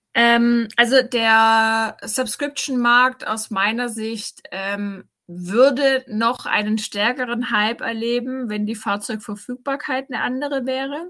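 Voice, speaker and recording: On a very clean recording with a silent background, a woman with a fairly high pitch and a bright, sharp tone speaks at a very slow pace with hardly any pauses and fairly even intonation. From Swabia, Rottenburg am Neckar near Tübingen. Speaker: startup co-founder. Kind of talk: interview.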